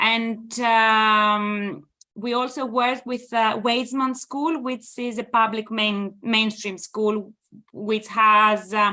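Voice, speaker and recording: A woman with a Greek accent. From Greece. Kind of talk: presentation talk. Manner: hesitant with many fillers.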